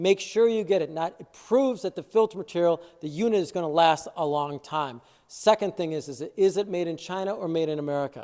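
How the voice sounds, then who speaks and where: A man's high-pitched voice with a Chicago accent, a dark, mellow tone, ordinary pitch variation, a fairly quick pace and hardly any pauses. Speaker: water treatment dealer. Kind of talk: product review video. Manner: casual, filler-heavy.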